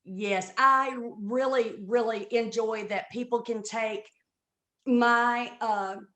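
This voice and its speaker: A woman's fairly high, bright, sharp voice with an American accent at a very slow pace. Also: fairly even intonation. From US South. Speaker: comedian. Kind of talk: interview.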